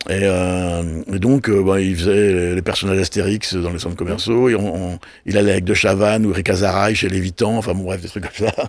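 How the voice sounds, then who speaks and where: Very deep and low in pitch, a man speaks at a fairly quick pace with monotone, flat intonation. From Brittany, France. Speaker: television and festival producer. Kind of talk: casual interview. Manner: fast; halting, many repetitions.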